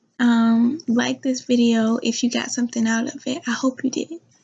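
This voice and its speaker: Whispering, a woman speaks softly at a fairly slow pace. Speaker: vlogger, truck driver. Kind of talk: casual vlog talk to camera. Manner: whispering a little, soft; hesitant, many fillers. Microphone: new laptop mic.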